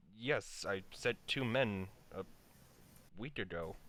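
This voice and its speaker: Using a put-on character voice, a man talks at a fairly slow pace and fairly low pitch over clear background noise. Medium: actual play.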